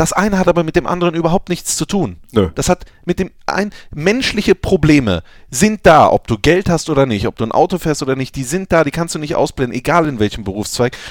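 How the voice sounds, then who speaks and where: In a dry, close recording with no echo, a man with a fairly high pitch and vocal fry talks at a fairly quick pace, his pitch swinging very widely. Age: 20s. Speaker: football podcast host. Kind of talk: casual chat.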